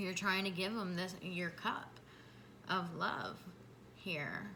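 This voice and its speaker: Through audible room echo, a woman speaks at a medium pitch and a very slow pace with monotone, flat intonation. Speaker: tarot reader. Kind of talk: tarot reading to camera. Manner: halting.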